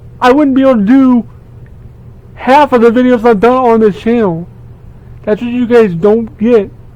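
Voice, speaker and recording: Mumbling with long, frequent pauses, a man speaks at an extremely high pitch with fairly even intonation. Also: moderate pace. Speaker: gaming YouTuber. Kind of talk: casual vlog monologue. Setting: basement room at home. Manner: halting, repeats words.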